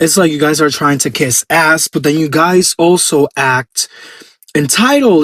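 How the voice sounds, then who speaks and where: In a Puerto Rican accent, a man with a fairly high voice speaks in an animated tone. His pace is moderate and his pitch varies in an ordinary way. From Puerto Rico. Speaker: pageant commentator YouTuber. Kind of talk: opinion rant to camera.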